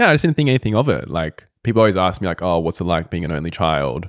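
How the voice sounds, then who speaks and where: A man with an Australian accent and a very deep, low pitch uses lively intonation, recorded dry and close with no echo on a very clean, silent-background recording. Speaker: guest, host's fiancé, yoga practitioner. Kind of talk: casual conversation.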